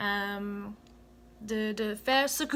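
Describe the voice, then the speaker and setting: A woman at a very slow pace, with ordinary pitch variation. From United States. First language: English (speaking French). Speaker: vlogger, former volunteer in Cameroon. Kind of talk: casual vlog talk to camera. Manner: halting, many hesitations.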